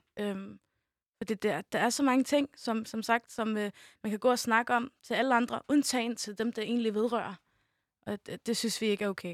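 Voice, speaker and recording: At a moderate pace, a woman with a plain, everyday voice speaks in a fairly high pitch with fairly even intonation, in a very clean recording with a silent background and a dry, close sound with no echo. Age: young. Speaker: youth media volunteer. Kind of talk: casual chat.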